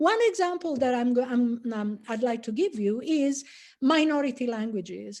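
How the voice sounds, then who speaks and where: With an Italian accent, a woman speaks at a moderate pace in a high pitch, using a dark, mellow tone and lively intonation over a quiet background. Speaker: professor. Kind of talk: lecture. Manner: halting, many fillers.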